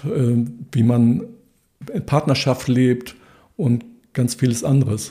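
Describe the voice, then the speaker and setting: A man speaks at a medium pitch with a dark, mellow tone. His voice is somewhat breathy, his intonation fairly even. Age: 60s. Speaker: economist and cooperative member. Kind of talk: interview. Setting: office.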